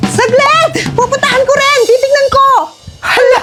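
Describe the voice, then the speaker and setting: A woman uses a put-on character voice, extremely high in pitch and fairly slow in pace. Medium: voice reel. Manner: loud, exclamatory.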